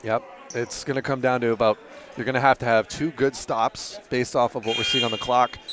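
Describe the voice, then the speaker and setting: There is noticeable background noise behind the speaker. A man talks at a fairly quick pace. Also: medium pitch for a man, fairly even intonation. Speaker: basketball color commentator. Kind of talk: live commentary. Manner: fast; halting.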